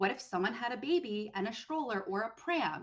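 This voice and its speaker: A woman with a New York accent and very wide pitch swings. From US Northeast, New York City. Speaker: online community manager. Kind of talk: webinar interview. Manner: fast.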